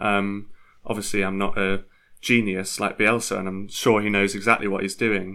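With a Yorkshire accent, a man speaks at a moderate pace in a fairly low, bright and sharp voice with monotone, flat intonation, on a very clean recording with a silent background. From Leeds, northern England. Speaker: football fan. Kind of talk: casual chat.

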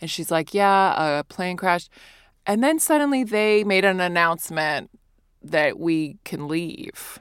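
At a fairly slow pace, a speaker with an American accent and a normal speaking voice uses lively intonation on a very clean recording with a silent background. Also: woman, medium pitch for a woman. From US, Virginia. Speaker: stand-up comedian. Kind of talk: casual chat.

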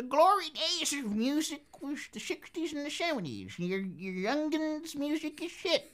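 This put-on character voice sits at a high pitch and moves at a fairly slow pace with hardly any pauses. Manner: dismissive, grumpy.

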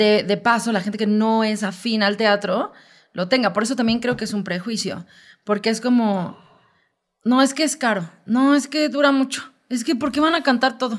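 A woman's ordinary speaking voice, fairly high in pitch, at a moderate pace with ordinary pitch variation. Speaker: musical theatre actress. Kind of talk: casual chat.

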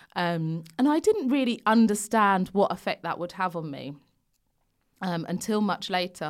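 A woman's lively intonation at a moderate pace, on a very clean recording with a silent background. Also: medium pitch for a woman. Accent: London. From London. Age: 30s. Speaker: fashion and body image influencer. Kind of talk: casual interview chat. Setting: studio.

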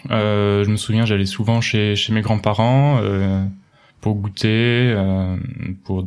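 This man speaks at a very slow pace. His intonation stays fairly even. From France, Touraine (Loir-et-Cher). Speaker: former software engineer turned baker. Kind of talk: casual interview chat. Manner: halting, frequent hesitations.

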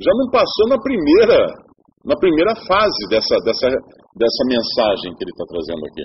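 This man talks at a moderate pace, his loudness swinging a lot. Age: 50s. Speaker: preacher. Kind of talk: sermon. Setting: church.

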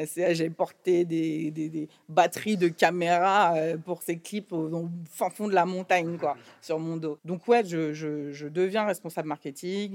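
Fairly slow and with big swings in loudness, a woman with an unremarkable speaking voice talks at a fairly low pitch with fairly even intonation on a very clean recording with a silent background. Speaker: record label executive. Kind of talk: interview conversation.

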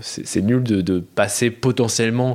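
A man with a fairly low pitch, an ordinary speaking voice and ordinary pitch variation. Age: 20s. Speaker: podcast listener sharing experiences. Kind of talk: casual chat.

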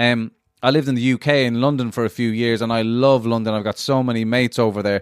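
Delivered at a very fast pace, the speech has monotone, flat intonation. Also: man, medium pitch for a man. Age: 30s. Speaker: guest, comedian. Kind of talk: casual chat. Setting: video call.

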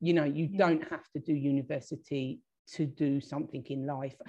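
With a southern English accent, a woman speaks at a moderate pace in a very deep, low voice with a dark, mellow tone and fairly even intonation against a quiet background. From southern England, Hastings, East Sussex. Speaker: marketing and communications professional. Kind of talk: interview. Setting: video call. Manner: halting, with repeated words.

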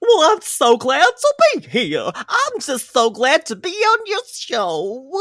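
In a cartoonish character voice, someone speaks with a high pitch and a cheerful tone at a fairly slow pace, with hardly any pauses. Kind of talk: 1970s cartoon style. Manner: cheerful, cartoonish.

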